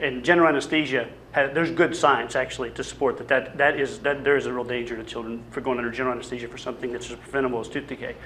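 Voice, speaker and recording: Someone with a slight Arkansas accent talks at a very fast pace over noticeable background noise. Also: man. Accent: slight Southern (Arkansas). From US South, Little Rock, Arkansas. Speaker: public health dentist, campaigner. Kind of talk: panel presentation with slides. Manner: hesitant, many fillers and restarts.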